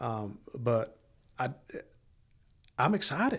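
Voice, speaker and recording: A man's somewhat breathy, medium-pitched voice with an American accent, on a very clean recording with a silent background. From East Tennessee. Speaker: associate pastor. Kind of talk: casual interview.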